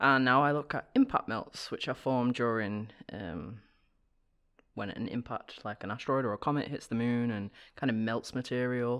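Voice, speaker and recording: In a very clean recording with a silent background, a man with a British accent speaks with fairly even intonation. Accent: British, sounds posh to Americans. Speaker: planetary scientist. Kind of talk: casual chat.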